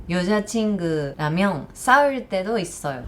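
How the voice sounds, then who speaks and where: Speaking with a Japanese accent, a woman has a medium pitch and lively intonation. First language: Japanese (speaking Korean). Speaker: YouTuber. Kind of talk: vlog talk to camera.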